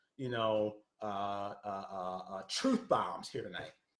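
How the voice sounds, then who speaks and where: Audible room echo surrounds a man speaking against a quiet background. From Philadelphia. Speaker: political commentator. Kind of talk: live-stream monologue. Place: home room. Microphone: webcam.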